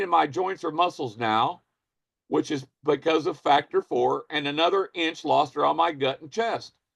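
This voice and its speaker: A man speaks in a fairly high pitch with vocal fry. The sound is dry and close with no echo. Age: 60s. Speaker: business and marketing trainer. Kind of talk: online training session, sharing a product testimonial. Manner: conversational, repeating questions to the audience.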